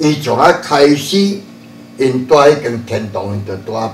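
A man speaking at a very slow pace, with light background noise and audible room echo. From Taiwan, Chiayi area (Shuishang); Taiwan. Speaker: religious elder; interviewee. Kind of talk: interview; interview answer. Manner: halting. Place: hall.

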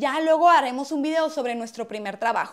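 Over a quiet background, a woman with a high voice speaks in an animated tone with ordinary pitch variation. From Mexico, Hermosillo, Sonora; Sonora, Mexico. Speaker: comedy YouTuber. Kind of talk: casual vlog monologue. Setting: at home, in bedroom. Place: home room. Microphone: lapel.

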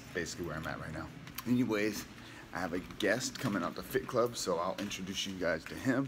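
A man's fairly low, very fast speech with ordinary pitch variation amid noticeable background noise. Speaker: fitness vlogger. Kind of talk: casual vlog chat. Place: home room. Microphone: phone near.

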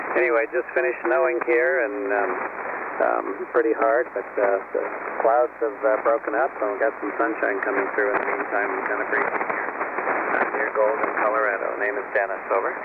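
A man at a fairly quick pace, with a dry sound with no echo and loud background noise. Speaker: amateur radio operator. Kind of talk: casual chat. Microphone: two way radio.

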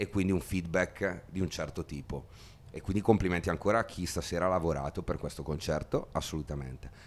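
Rather rapid speech from a man in a very deep, low register. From Italy. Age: 30s. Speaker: musician; interviewee. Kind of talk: interview. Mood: relaxed, friendly, enthusiastic. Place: empty room. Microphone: handheld.

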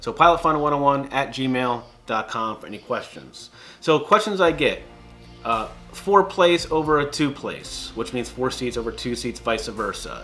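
Faint music sits in the background. Over it, a man speaks fairly slowly. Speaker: pilot vlogger. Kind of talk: casual vlog chat. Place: home room.

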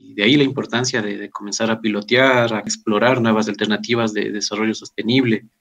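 Medium pitch from a man, in a normal speaking voice, with fairly even intonation and a moderate pace. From Ecuador. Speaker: agricultural engineer. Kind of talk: interview. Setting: remote connection. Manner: formal.

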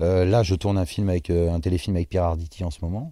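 This man's voice is very deep and low, dark and mellow in tone and somewhat breathy, delivered at a moderate pace in a dry recording with no echo. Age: 30s. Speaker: actor and dubbing artist; actor. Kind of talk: interview. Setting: bar-restaurant. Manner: hesitant, frequent fillers and repetitions. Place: hall. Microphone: lapel.

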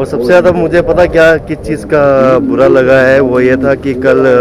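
A man is heard with noticeable background noise, in a dry sound with no echo. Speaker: vlogger. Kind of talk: casual vlog chat. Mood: reflective, a bit regretful. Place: garden. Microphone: phone near.

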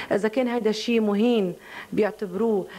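The speaker is a woman. She has a Lebanese accent. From Lebanon. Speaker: singer. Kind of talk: interview answer. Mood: defensive, earnest, explaining herself. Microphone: handheld.

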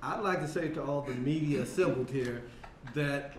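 Audible room echo and light background noise fill the recording. A man with a fairly high voice speaks at a moderate pace. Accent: American. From US Midwest, St. Louis; US Midwest. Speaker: political consultant. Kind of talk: roundtable remarks. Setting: roundtable with press present. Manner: animated. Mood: forceful, critical. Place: meeting room.

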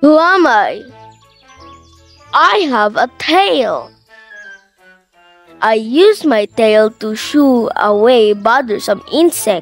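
A woman does a cartoonish character voice at a fairly high pitch with lively intonation, speaking slowly with long, frequent pauses over faint background music.

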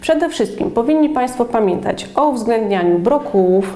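This woman speaks with lively intonation. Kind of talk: educational explanation. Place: office. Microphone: lapel.

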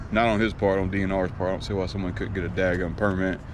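A man talks at a very fast pace. The sound is dry with no echo, but there is noticeable background noise. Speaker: fishing vlogger. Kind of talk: casual vlog chat. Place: street. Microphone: phone near.

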